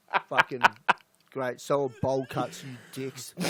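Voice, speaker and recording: This man talks in an Australian accent, his pitch sitting fairly high. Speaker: podcast host. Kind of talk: casual chat.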